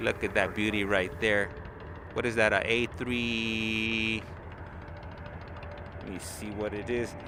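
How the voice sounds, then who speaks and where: A man speaks very slowly with a fairly low pitch, monotone, flat intonation and long, frequent pauses. Noticeable background noise and room echo can be heard. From Los Angeles, California. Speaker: live stream plane spotting commentator. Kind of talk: live commentary. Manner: casual, chatty.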